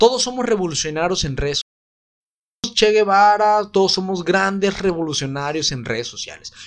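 A high-pitched man with lively intonation at a fairly quick pace. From Mexico, Guadalajara. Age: 20s. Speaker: university program coordinator. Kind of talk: casual interview.

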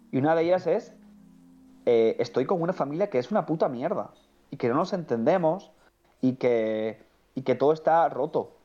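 A man's fairly high voice with lively intonation and very even loudness, broken by long, frequent pauses, music playing in the background. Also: moderate pace. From Andalusia, Cádiz (El Puerto de Santa María). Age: 20s. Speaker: film commentator, online film critic. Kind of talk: casual chat.

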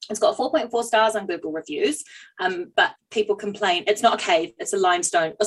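Natural reading voice

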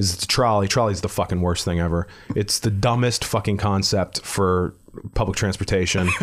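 In an unremarkable speaking voice with an American accent, a man talks at a fairly quick pace with fairly low pitch and fairly even intonation. His loudness stays very even on a very clean recording with a silent background. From Pittsburgh, Pennsylvania. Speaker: stand-up comedian. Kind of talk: casual chat.

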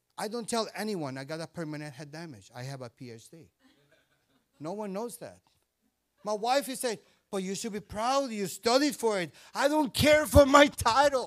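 On a very clean recording with a silent background, a man speaks in an animated tone. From Indian-Puerto Rican background. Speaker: guest preacher. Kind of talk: sermon. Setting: church.

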